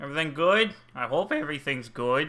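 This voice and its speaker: The voice is loud, with a bright, sharp tone and a fairly slow pace. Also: man. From United States. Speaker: streamer. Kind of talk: casual chat.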